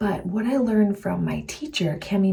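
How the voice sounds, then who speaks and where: A soft-spoken woman talks at a moderate pace. Noticeable background noise sits behind her. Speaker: herbalist and health coach vlogger. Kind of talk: casual vlog talk.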